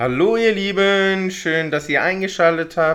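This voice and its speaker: Over a quiet background, a man is speaking. His tone is bright and sharp. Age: 30s. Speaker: podcast host. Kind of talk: casual chat.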